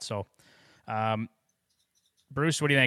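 With a Canadian accent, a man talks at a very fast pace and medium pitch, sounding dry and close with no echo. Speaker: sports radio host. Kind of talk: casual chat.

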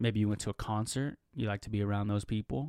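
In a very clean recording with a silent background and a dry, close sound with no echo, a man with a normal speaking voice talks fairly quickly at a fairly low pitch. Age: 20s. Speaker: podcast host. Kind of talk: casual solo monologue. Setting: home studio with microphone.

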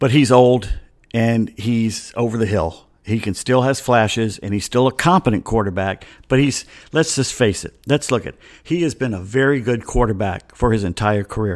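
A man speaks at a moderate pace with an American accent, his pitch medium with ordinary variation. The recording is very clean, the background silent. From US South, Atlanta. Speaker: sports podcast host. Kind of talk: casual sports talk monologue. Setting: home studio, solo microphone.

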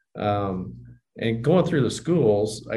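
A man's fairly low, dark, mellow voice with vocal fry, in an American accent, at a fairly slow pace with audible room echo. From southwest Kansas (Johnson). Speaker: bank executive and podcast host. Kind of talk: interview conversation.

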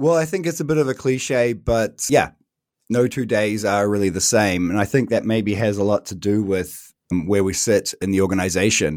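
Speaking at a moderate pace, a man with a New Zealand accent has a fairly low pitch. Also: lively intonation, very clean recording, silent background. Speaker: head of internal communications. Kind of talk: interview.

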